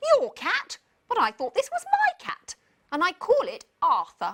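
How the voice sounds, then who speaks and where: A woman speaks in a put-on character voice at a moderate pace, her pitch extremely high. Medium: read story.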